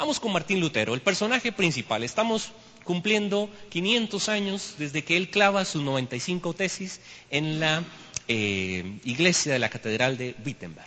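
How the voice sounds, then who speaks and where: A man speaks at a moderate pace with a high pitch and very wide pitch swings. Noticeable background noise sits behind his voice. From Costa Rica. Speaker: history teacher, guest speaker at church. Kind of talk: church lecture. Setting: church.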